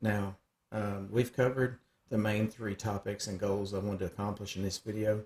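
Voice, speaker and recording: A fairly low-pitched man with a Southern US accent, somewhat breathy, monotone and flat, at a moderate pace. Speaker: cutting tools sales rep. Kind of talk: screen-share software tutorial. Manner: casual, hesitant with frequent fillers; words run together.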